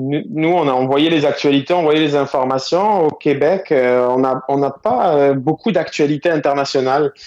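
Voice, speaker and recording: Moderate pace from a man with a fairly high pitch and ordinary pitch variation. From southwestern France. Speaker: entrepreneur. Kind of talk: phone interview.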